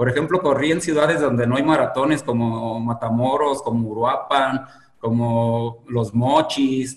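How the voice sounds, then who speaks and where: Noticeable background noise runs under a man's fairly high voice, which shows ordinary pitch variation. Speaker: marathon runner, former addict. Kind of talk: interview, personal testimony. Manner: hesitant, many fillers.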